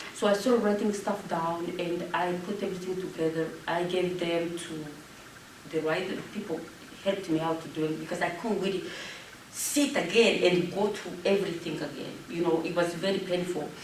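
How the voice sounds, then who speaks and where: A woman with a French accent speaks at a fairly low pitch with fairly even intonation, amid noticeable background noise and audible room echo. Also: moderate pace. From Rwanda. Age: 40s. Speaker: genocide survivor and public speaker. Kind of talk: Q&A after a talk.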